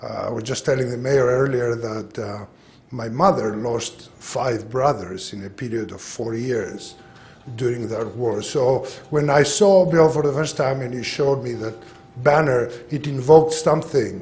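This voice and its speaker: Against music in the background and audible room echo, a man with a Greek accent speaks fairly slowly at a medium pitch, with ordinary pitch variation and big swings in loudness. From Greece. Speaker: public commenter. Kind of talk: public comment at council meeting. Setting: city council meeting.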